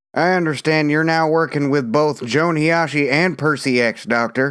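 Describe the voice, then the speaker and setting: A man uses a put-on character voice at a fairly high pitch, with fairly even intonation and very even loudness. He talks at a moderate pace in a very clean recording with a silent background. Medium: read story. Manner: blunt, pressing.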